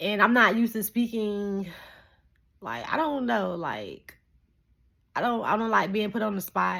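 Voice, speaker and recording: A woman speaks at a fairly slow pace with long, frequent pauses, her medium-pitched voice bright and sharp in tone. The recording is very clean, with a silent background. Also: ordinary pitch variation. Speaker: vlogger. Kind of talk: casual vlog monologue. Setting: at home, pacing. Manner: stuttering, trips over words; scattered, jumping between thoughts.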